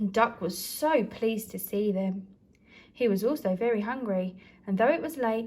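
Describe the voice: Plain reading aloud, delivered with ordinary pitch variation.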